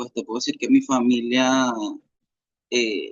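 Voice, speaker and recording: At a medium pitch, a man speaks at a fairly slow pace. His intonation stays fairly even. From Venezuela. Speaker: interviewee sharing life story. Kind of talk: interview testimony. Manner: halting, with many fillers.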